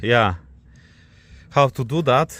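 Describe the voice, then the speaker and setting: A man speaks with a non-native accent at a fairly high pitch and ordinary pitch variation. The sound is dry and close, with no echo. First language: not English. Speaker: car DIY vlogger. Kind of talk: tutorial. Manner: halting.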